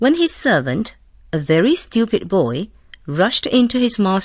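Delivered in an unforced reading voice, the passage flows along.

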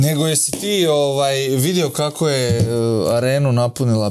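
Over music in the background, a man speaks with ordinary pitch variation. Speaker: comedy show host. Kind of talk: comedic sketch dialogue. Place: studio.

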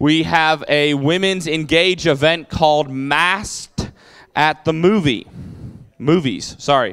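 A man speaks against a quiet background. His intonation stays fairly even. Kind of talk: church announcements. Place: church. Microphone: handheld.

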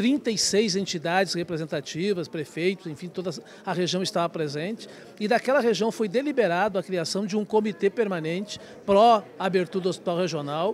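A man with a high pitch speaks at a moderate pace with ordinary pitch variation, the sound dry with no echo and light background noise. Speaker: regional committee leader. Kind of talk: news interview. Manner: halting, repeats words. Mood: earnest, advocating. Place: hall. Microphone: handheld.

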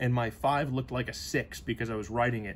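A man speaks in a somewhat breathy voice. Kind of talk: casual explanatory chat. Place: workshop.

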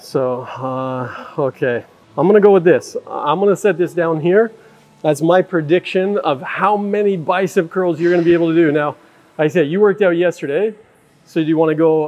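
A man with a high pitch, ordinary pitch variation and a moderate pace. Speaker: mentalist vlogger. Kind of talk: casual vlog chat. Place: gym. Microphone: lapel.

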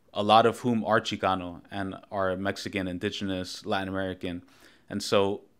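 Over a quiet background, a man talks at a moderate pace in a monotone, flat intonation. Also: fairly low pitch for a man. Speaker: show host. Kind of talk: interview show introduction. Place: home room.

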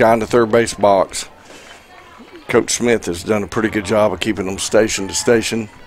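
Noticeable background noise sits behind a man's voice. His pitch is medium and his intonation fairly even. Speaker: color commentator. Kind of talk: live sports commentary, analysis. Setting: stadium press box, live broadcast. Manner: relaxed, conversational.

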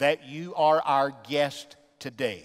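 A man speaks against a quiet background. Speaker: pastor. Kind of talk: sermon and prayer. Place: church. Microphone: headset.

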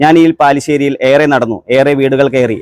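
Recorded dry and close with no echo, a man talks with monotone, flat intonation. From Kerala, Ernakulam district (Angamaly area). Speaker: local election candidate. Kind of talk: campaign speech. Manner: formal.

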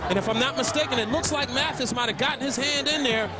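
Noticeable background noise sits behind a man speaking at an extremely high pitch with ordinary pitch variation. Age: 30s. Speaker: color commentator. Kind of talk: live commentary. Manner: animated.

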